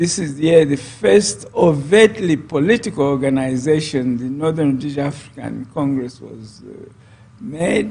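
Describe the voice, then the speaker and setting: Somewhat breathy and fairly high-pitched, a man talks at a moderate pace with lively intonation and big swings in loudness. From Zambia. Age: 70s. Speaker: politician. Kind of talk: interview.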